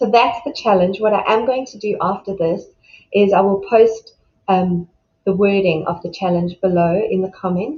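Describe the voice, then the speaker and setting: At a moderate pace, the voice sounds warm and somewhat breathy, with ordinary pitch variation and big swings in loudness. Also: woman, medium pitch for a woman. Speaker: self-love coach. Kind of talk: motivational talk. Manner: warm, encouraging.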